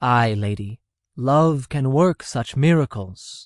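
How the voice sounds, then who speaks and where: With a quiet background, a man in a put-on character voice speaks fairly slowly at a medium pitch with ordinary pitch variation. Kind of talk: Elizabethan verse drama. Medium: audio drama.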